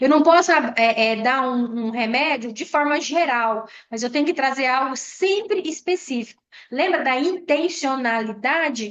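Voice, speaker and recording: Her pitch is high and her intonation lively. The woman speaks at a fairly slow pace. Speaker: educational trainer. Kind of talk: online training lecture.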